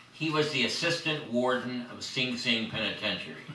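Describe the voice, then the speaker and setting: Someone with an American accent talks with ordinary pitch variation. Noticeable background noise and audible room echo are present. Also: man. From Southern California. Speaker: poet and biographer. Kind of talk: panel discussion.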